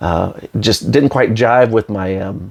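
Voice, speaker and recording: Speaking quietly at a moderate pace, a man talks with an American accent. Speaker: YouTuber reviewing movie releases. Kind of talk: casual unboxing show-and-tell. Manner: hesitant, many fillers.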